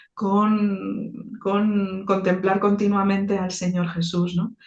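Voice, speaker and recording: This woman's voice is somewhat breathy. Her pitch falls in the medium range. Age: 60s. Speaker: theologian and icon painter. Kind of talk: interview. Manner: halting, with many repetitions.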